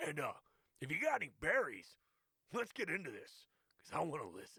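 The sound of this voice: A man's put-on character voice at a very fast pace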